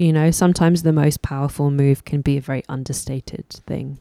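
A woman's very deep, low voice in a London accent, with a dark, mellow tone, fairly even intonation and a fairly quick pace, in a dry, close sound with no echo. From London, England. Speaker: musician and singer-songwriter. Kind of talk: interview. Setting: in-person interview in a record store.

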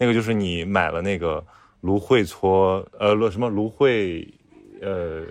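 A man speaks in a normal speaking voice, fairly low-pitched, with ordinary pitch variation. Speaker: travel companion. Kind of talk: casual chat. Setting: bathhouse lounge.

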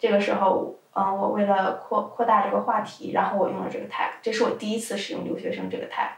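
A woman speaks at a fairly quick pace. Noticeable background noise can be heard behind her. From China. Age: 20s. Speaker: adult video content creator. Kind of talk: casual interview.

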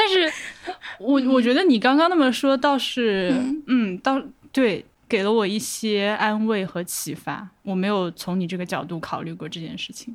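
Her fairly high voice swings very widely in pitch and greatly in loudness as this woman speaks at a moderate pace. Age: 30s. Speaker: podcast producer. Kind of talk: casual chat.

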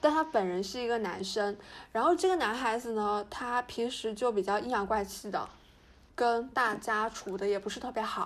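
This woman has a normal speaking voice, fairly high in pitch, with ordinary pitch variation and a moderate pace. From Fujian, China. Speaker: podcast co-host. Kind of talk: casual chat.

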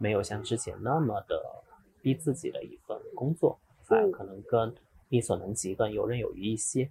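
At a moderate pace, the man delivers his words. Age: 30s. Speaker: investment community organizer, podcaster. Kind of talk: casual chat. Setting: in person, Guangzhou.

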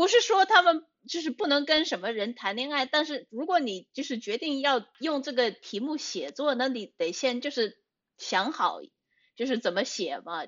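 A woman talks at an even, middling speed, her high voice rising and falling across a very wide range. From United States. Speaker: writer. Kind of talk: casual chat. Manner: halting.

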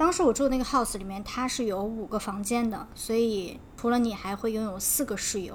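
A woman speaks at a fairly high pitch in a somewhat breathy voice. Audible room echo surrounds her. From China. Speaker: podcast co-host. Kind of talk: scripted narration; casual chat. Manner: slightly halting, many fillers.

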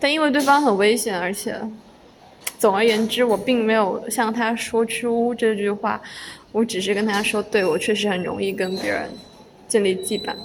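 Noticeable background noise behind a woman's fairly high voice, moderate in pace, with fairly even intonation. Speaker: solo podcast host and student. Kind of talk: casual solo monologue. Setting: recorded in a corridor. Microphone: occasional poor sound quality from pausing the recording.

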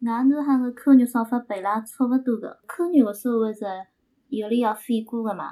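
A woman speaks at a high pitch and a moderate pace. Her intonation is fairly even, but her loudness swings widely. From Shangyu, Shaoxing, Zhejiang. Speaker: podcast guest. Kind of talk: casual chat.

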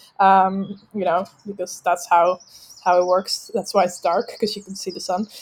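With a Dutch accent, the speaker is heard in a very clean recording against a silent background. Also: woman. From Netherlands. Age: 30s. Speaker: veterinary student. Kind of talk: casual chat. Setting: at her parents' house. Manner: fast.

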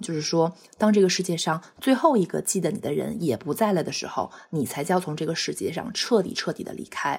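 A woman speaks at a fairly quick pace with a medium pitch. Vocal fry runs through her voice. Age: 30s. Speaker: pet owner sharing bereavement story. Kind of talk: personal testimony. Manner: halting, with fillers and repetitions.

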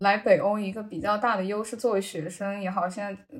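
Somewhat breathy, a woman speaks at a fairly quick pace, with medium pitch and ordinary pitch variation. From China. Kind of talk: podcast interview.

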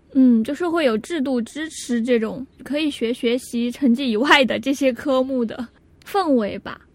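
A woman speaks at a high pitch with ordinary pitch variation and a fairly slow pace. Noticeable background noise is present. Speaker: podcast co-host. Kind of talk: casual chat.

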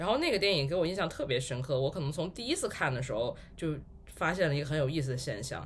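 Pitched fairly high, a man with a plain, everyday voice speaks with lively intonation. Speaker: podcast host. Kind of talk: casual chat.

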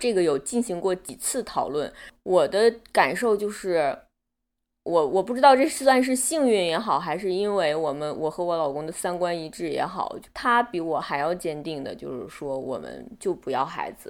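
At a moderate pace, the voice makes very wide pitch swings in a very clean recording with a silent background. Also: woman, fairly low pitch for a woman. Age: 30s. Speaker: interviewee sharing abortion experience. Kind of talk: personal testimony in interview.

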